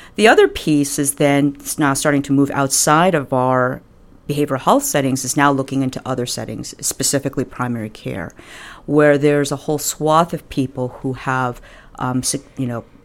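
A woman with an American accent, very deep, low pitch, fairly even intonation and a fairly quick pace. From New York. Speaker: psychiatrist and health system executive. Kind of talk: interview.

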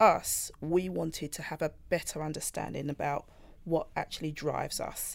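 A London accent on a very clean recording with a silent background. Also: woman. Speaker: data privacy manager. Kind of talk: panel discussion, partly prepared statements.

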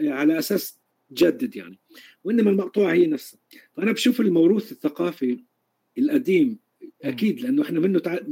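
Pitched high for a man, his dark, mellow voice makes very wide pitch swings and leaves long, frequent pauses. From Palestine, Galilee. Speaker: percussionist and music teacher. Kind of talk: interview. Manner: halting.

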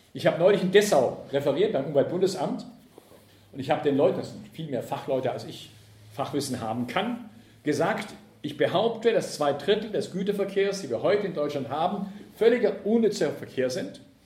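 With a dark, mellow tone and a high pitch, a man speaks at a fairly quick pace with lively intonation and big swings in loudness, with audible room echo. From southern Germany, Ravensburg near Lake Constance. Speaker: left-wing transport and environmental activist speaker. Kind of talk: public lecture.

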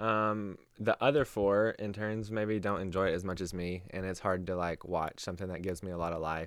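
A fairly quick pace and fairly even intonation in an American accent, in a very clean recording with a silent background. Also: man, very deep, low pitch for a man. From US South, Knoxville, Tennessee. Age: 20s. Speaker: camp intern. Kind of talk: casual chat. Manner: hesitant, many ums.

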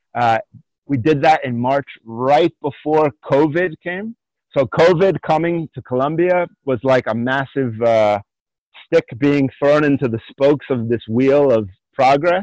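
A man with a Pennsylvania accent speaks at a fairly slow pace in a fairly high pitch, with ordinary pitch variation, a dry, close sound with no echo, and a quiet background. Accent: Pennsylvania American. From US, Allentown, Pennsylvania. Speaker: war veteran and movement coach. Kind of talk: interview. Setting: remote call from jungle.

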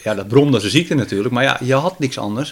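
A man talks at a very fast pace. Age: 50s. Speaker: radio amateur and model aircraft hobbyist. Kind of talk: casual interview. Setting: at guest's home.

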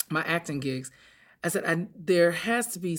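A woman's fairly low voice with an American accent at a moderate pace, in a very clean recording with a silent background. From North Carolina, US. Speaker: actor and director. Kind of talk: casual interview chat.

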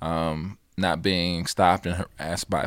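Very deep and low, a man's voice carries an American accent and fairly even intonation in a very clean recording with a silent background. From US Midwest, Chicago South Side. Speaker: community organizer. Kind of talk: casual chat.

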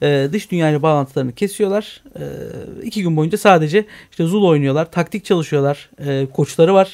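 A man with a fairly high pitch and a plain, everyday voice. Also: ordinary pitch variation, moderate pace. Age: 30s. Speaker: online game community manager. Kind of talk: radio interview.

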